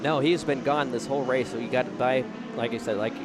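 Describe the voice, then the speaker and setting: A man with an American accent talks at a fairly quick pace with fairly even intonation amid noticeable background noise. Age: 20s. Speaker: race commentator and racer. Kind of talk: live commentary. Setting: commentary booth.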